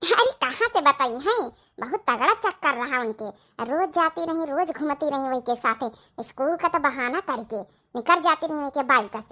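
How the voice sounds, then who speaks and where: In a cartoonish character voice, a woman speaks at a high pitch and a moderate pace, with very wide pitch swings and big swings in loudness. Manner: sly, wheedling.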